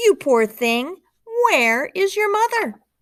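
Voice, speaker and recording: Squeaky, extremely high-pitched put-on character voice from a woman, fairly slow, with very wide pitch swings. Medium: read story. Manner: bright, wondering.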